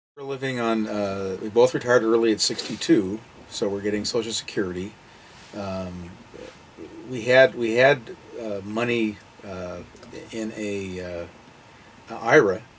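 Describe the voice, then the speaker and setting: A man's fairly low voice at a moderate pace, with fairly even intonation, long, frequent pauses, big swings in loudness and noticeable background noise. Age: 60s. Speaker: retired full-time RVer and part-time insurance agent. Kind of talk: interview.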